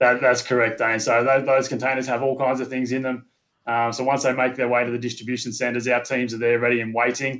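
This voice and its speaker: Speaking very fast in a monotone, flat intonation, a man with a slight Australian accent holds a medium pitch. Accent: subtle Australian. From Australia, Sydney. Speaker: company manager recruiting labourers. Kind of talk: interview. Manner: halting, many fillers and repeats.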